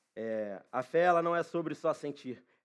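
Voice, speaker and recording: A man with a fairly high pitch and ordinary pitch variation, an unremarkable speaking voice, over a quiet background. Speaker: preacher. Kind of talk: sermon. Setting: church.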